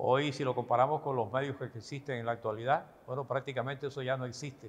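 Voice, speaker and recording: A man speaks at a moderate pace. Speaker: retired radio announcer telling his life story. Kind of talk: interview answer, recounting personal memories.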